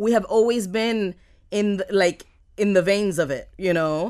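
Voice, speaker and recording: A woman with a Miami accent, medium pitch and ordinary pitch variation, in a very clean recording with a silent background. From Miami, US. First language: Spanish. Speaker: entrepreneur. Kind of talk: casual interview chat. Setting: studio.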